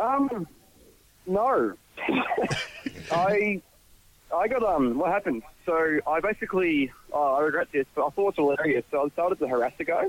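With an Australian accent, a man talks at a high pitch with lively intonation and very even loudness, leaving long, frequent pauses, the sound dry and close with no echo amid noticeable background noise. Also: moderate pace. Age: 20s. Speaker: podcast guest. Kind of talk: casual chat.

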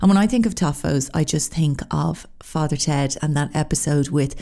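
Here is a woman with a very deep, low pitch. Her pitch varies in an ordinary way. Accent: Irish. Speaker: podcast host. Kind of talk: casual solo monologue.

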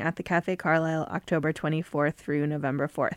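A woman talks at a moderate pace with a fairly low pitch and a normal speaking voice. The sound is dry and close, with no echo. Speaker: podcast host, music editor. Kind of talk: interview. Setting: studio.

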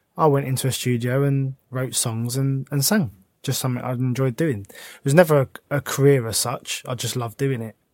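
On a very clean recording with a silent background, a man with a South London accent speaks with fairly even intonation and hardly any pauses. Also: medium pitch for a man, moderate pace. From south London, Croydon. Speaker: former footballer and pro boxer. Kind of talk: casual chat.

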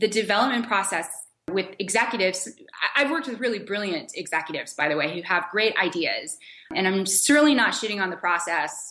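Lively in intonation, a woman with a medium pitch and an unremarkable speaking voice talks at a fairly quick pace. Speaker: TV showrunner. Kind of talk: interview.

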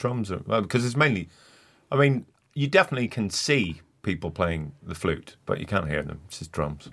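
A man with a Northern Irish accent speaks at a moderate pace in a fairly low voice. His pitch swings very widely, and the recording is very clean with a silent background. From Northern Ireland. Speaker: comedian. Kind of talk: casual chat.

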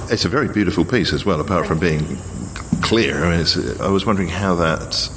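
Against noticeable background noise, a man speaks in a very deep, low voice. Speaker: podcast host. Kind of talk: conversational podcast hosting, interview. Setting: darkened gallery room during exhibition.

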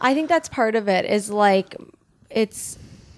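A woman speaks at a moderate pace in an unremarkable speaking voice. The recording is very clean, with a silent background. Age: 30s. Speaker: writer and actor. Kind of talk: casual chat.

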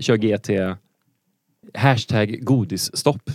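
A man speaks with ordinary pitch variation. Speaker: quiz podcast co-host. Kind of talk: casual chat. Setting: studio.

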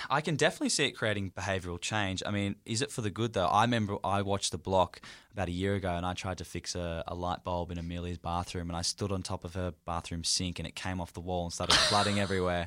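On a very clean recording with a silent background, a man with an Australian accent speaks at a very fast pace with hardly any pauses, his very deep, low voice carrying a bright, sharp tone and fairly even intonation. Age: 20s. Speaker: podcast co-host. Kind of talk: casual chat.

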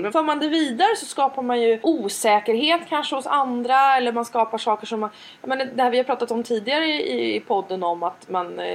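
A woman talks in a high pitch with very wide pitch swings. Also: hardly any pauses. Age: 40s. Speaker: podcast co-host. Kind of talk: casual chat.

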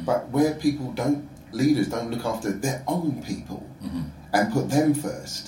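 Amid noticeable background noise and audible room echo, a man with a South London accent talks at a fairly slow pace with lively intonation. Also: medium pitch for a man. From London (Croydon), England. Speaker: entrepreneur, music platform founder. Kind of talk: casual chat.

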